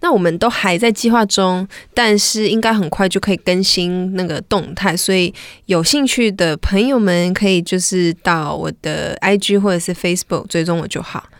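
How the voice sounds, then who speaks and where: With ordinary pitch variation and a moderate pace, an ordinary speaking voice comes through on a very clean recording where the background is silent. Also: woman, medium pitch for a woman. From Malaysia. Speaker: R&B singer-songwriter. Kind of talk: casual interview chat.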